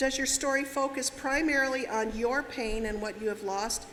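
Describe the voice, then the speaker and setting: Room echo can be heard around a woman whose pace is moderate and whose pitch shifts in a normal way. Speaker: seminar speaker. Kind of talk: lecture. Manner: direct.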